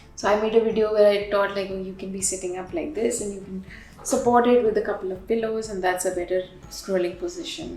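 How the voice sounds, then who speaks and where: A woman's very fast, medium-pitched voice with an Indian accent, ordinary pitch variation and big swings in loudness, amid noticeable background noise and audible room echo. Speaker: yoga teacher and social media influencer. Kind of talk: interview.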